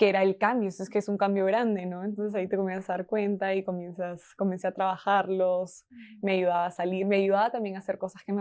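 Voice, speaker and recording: At a fairly quick pace and medium pitch, a woman speaks in a Peruvian accent against a quiet background. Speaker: marketing team member. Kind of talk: podcast interview answer.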